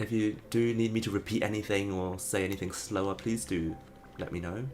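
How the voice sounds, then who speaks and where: Noticeable background noise sits under a man's fairly low voice. He moves at a fairly quick pace with fairly even intonation. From Hong Kong. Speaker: video game streamer. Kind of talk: casual live-stream chat while gaming. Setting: home room, live stream.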